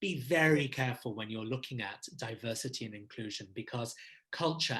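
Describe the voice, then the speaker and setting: Recorded very cleanly over a silent background, a man speaks at medium pitch with a bright, sharp tone and ordinary pitch variation. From Abu Dhabi, UAE. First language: not English. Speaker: leadership consultant. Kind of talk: Q&A interview answering questions. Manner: formal.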